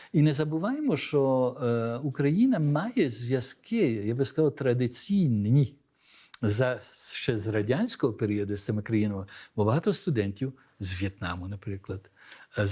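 The voice has a dark, mellow, somewhat breathy tone with very wide pitch swings. It moves at a moderate pace on a very clean recording with a silent background. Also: man. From Belgium, born abroad to Ukrainian diaspora. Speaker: diaspora organization leader, former embassy staffer. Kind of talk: studio interview. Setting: TV studio.

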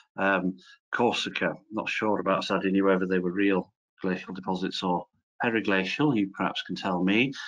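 Over a quiet background, someone with a Welsh accent talks at a moderate pace with fairly even intonation. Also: man. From Wales. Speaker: professor. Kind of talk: lecture. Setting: video call. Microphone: video call.

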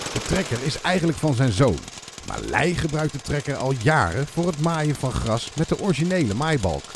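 A woman with a very deep, low pitch speaks at a moderate pace with lively intonation, and noticeable background noise can be heard. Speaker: narrator. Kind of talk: news feature narration.

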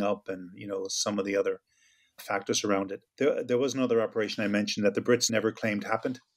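Talking at a very fast pace with fairly even intonation in an American accent, the speaker comes through a very clean recording with a silent background and a dry, close sound with no echo. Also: man. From United States. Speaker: former IRA member and Marine veteran. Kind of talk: interview answer.

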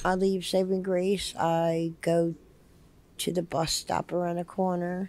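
Speaking in a New Jersey accent, a woman uses fairly low pitch and a dark, mellow tone. Her intonation is monotone and flat, at a fairly slow pace. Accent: New Jersey American. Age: 50s. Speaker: homeless shelter resident. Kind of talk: interview testimony. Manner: hesitant, many fillers.

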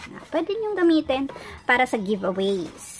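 Fairly slow speech from a woman, with noticeable background noise behind it. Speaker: crafts tutorial vlogger. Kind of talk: tutorial. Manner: halting, with fillers.

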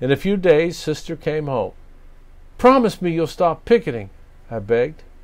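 A man's fairly high voice at a fairly slow pace. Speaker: pastor reading stories to children. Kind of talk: children's picture-book reading. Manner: gentle, warm, expressive storytelling voice with dramatic character pauses; slow, clear, and measured for young listeners. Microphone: phone near.

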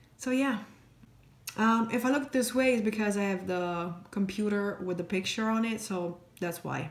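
Speaking at a moderate pace, a woman's voice carries audible room echo. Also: ordinary pitch variation. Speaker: beauty vlogger. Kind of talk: makeup tutorial chat. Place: home room. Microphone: phone near.

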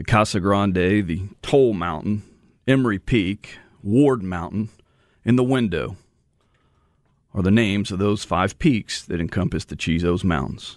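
Against a quiet background, a man with an American accent and a fairly low pitch talks at a fairly slow pace with ordinary pitch variation and long, frequent pauses, in a dry sound with no echo. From Texas. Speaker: radio host. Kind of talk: radio story segment. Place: studio.

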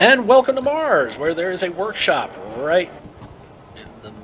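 A man's fairly slow speech with very wide pitch swings over noticeable background noise. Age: middle-aged. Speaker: gaming youtuber. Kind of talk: let's play commentary. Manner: casual.

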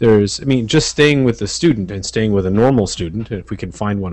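Speaking at a fairly quick pace, a man with an unremarkable speaking voice and fairly low pitch uses ordinary pitch variation in a dry sound with no echo. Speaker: guest. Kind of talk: discussion. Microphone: headset.

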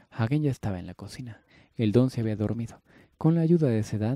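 The recording is plain reading aloud.

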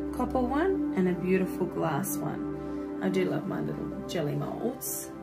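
Loud music in the background accompanies a woman speaking at a fairly slow pace. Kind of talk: casual vlog chat. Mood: warm and enthusiastic. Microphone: phone near.

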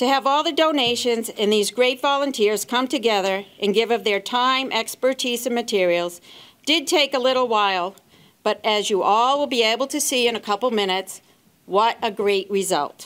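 The speech moves at a moderate pace. Its pitch varies in an ordinary way. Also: woman. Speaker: presenter. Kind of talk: ceremony speech. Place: hall. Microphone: handheld.

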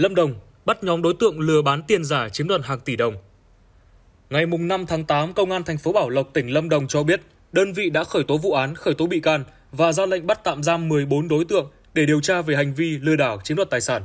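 Here is an ordinary speaking voice, a man's, at a fairly quick pace. His pitch is fairly high, with ordinary variation. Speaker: news presenter. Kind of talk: news reading.

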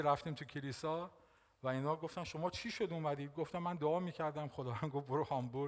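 A man's voice with ordinary pitch variation over a quiet background. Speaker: pastor. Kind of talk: sermon. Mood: warm, smiling, animated. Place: church. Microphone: headset.

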